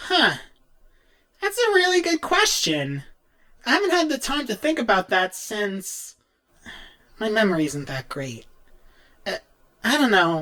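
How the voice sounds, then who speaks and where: A man's put-on character voice, high-pitched and nervous, swinging very widely in pitch at a moderate pace, with long, frequent pauses. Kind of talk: in-character fan Q&A. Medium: role play. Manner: nervous, casual.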